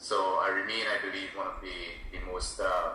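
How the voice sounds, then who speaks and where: A man raises and projects his voice at an extremely high pitch, talking fairly quickly. Audible room echo and noticeable background noise surround him. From Trinidad and Tobago. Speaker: cannabis policy consultant. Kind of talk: interview.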